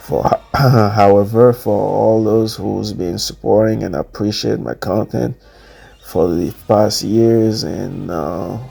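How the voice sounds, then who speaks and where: Through noticeable background noise, a man with a fairly low pitch speaks at a very slow pace with ordinary pitch variation. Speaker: fitness vlogger and coach. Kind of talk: workout voiceover commentary. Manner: halting, many fillers.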